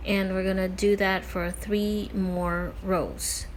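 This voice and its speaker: Over music in the background, a woman with a Filipino accent speaks at a very slow pace amid audible room echo. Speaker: crochet tutorial creator. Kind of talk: tutorial. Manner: casual with filler words.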